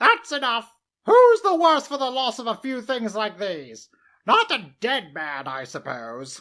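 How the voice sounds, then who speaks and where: Someone uses a put-on character voice with a fairly high pitch, speaking at a fairly slow pace. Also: very clean recording, silent background. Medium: read story. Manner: bold, defiant.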